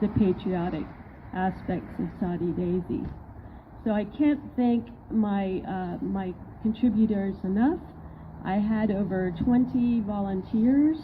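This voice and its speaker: A woman speaks at a very slow pace with long, frequent pauses. Her medium-pitched, somewhat breathy voice has ordinary pitch variation. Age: 60s. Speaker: mural artist. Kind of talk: public speech.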